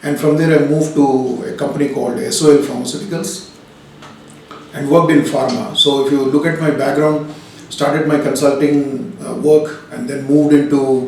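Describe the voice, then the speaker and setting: Through audible room echo and noticeable background noise, a man with a fairly high voice and a Telugu accent talks at a moderate pace. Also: ordinary pitch variation. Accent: Indian English (Telugu region). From India, Hyderabad. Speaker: business consultant, company director. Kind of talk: interview. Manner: hesitant, frequent fillers.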